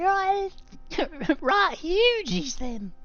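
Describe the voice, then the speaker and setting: Extremely high pitch in a put-on character voice. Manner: impression of a character voice.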